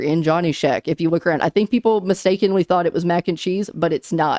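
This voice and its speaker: Talking very fast with lively intonation, a woman speaks at medium pitch in a dry, close sound with no echo. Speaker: gaming YouTuber. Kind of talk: casual gaming commentary to camera. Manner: casual, filler words.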